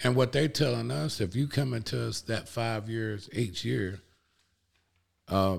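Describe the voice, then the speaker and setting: The speaker has an Alabama accent and lively intonation at a fairly slow pace. The recording is very clean, with a silent background. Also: man. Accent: US Southern (Alabama). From Alabama (Cullman). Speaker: auto detailer and ceramic coating distributor. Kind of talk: casual chat.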